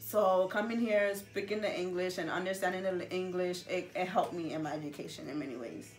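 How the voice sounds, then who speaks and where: Over music in the background and audible room echo, a woman speaks fairly quickly at medium pitch with ordinary pitch variation and hardly any pauses. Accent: Gambian. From Gambia. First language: Gambian languages. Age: 20s. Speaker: interviewee. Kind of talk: interview. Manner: halting, many fillers.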